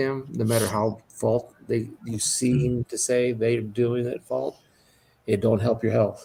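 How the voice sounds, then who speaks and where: Pitched in the medium range with fairly even intonation, a man uses a normal speaking voice at a moderate pace. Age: 60s. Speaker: livestream host. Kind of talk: casual chat.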